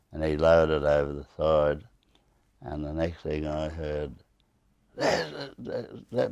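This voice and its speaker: A man talks with a very deep, low pitch and an Australian accent. His tone is dark and mellow. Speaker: war veteran. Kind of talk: interview storytelling. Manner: halting, many fillers and repetitions.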